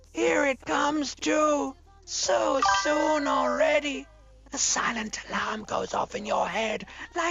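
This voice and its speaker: Over loud background music, a female-sounding put-on character voice speaks fairly slowly at a high pitch. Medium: game stream. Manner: dry, sardonic.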